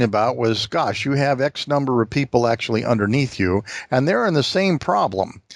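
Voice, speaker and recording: A man with a plain, everyday voice, lively intonation and a moderate pace on a very clean recording with a silent background. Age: 60s. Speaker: podcast host. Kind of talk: interview.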